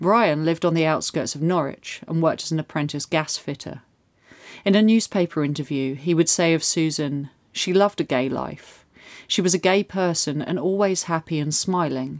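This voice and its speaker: Heard in a very clean recording with a silent background, a woman has a plain, everyday voice, a fairly low pitch, ordinary pitch variation and a moderate pace. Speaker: true crime narrator. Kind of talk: scripted true-crime narration, solemn and measured. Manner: formal, steady, sombre storytelling pace.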